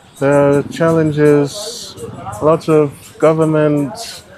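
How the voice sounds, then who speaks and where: A man's fairly high voice at a very slow pace, fairly even in intonation, with noticeable background noise. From Scotland. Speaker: ride-hailing driver. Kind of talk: casual interview. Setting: outdoors by a car in the rain.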